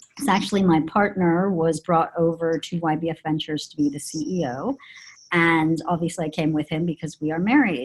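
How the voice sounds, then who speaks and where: A woman with an American accent has an unremarkable speaking voice. Her pitch is fairly low with ordinary variation, and her pace is fairly quick. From US, Colorado. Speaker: PR and marketing executive. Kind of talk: interview conversation. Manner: many filler words.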